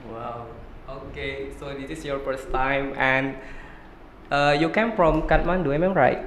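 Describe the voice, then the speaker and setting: With an Indonesian accent, the speaker goes at a fairly slow pace with long, frequent pauses and big swings in loudness, over noticeable background noise and audible room echo. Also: man, fairly high pitch for a man, ordinary pitch variation. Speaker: podcast host. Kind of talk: interview.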